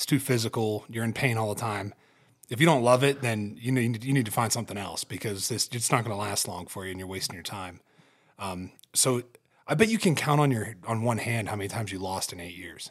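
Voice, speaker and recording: A man with a medium pitch talks at a fairly quick pace with big swings in loudness, in a very clean recording with a silent background. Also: ordinary pitch variation. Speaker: podcast host and hunter. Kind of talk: casual chat. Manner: profane, casual, emphatic.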